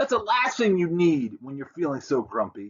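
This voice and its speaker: A man performs a put-on character voice, high in pitch with very wide pitch swings. He keeps a moderate pace. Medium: read story.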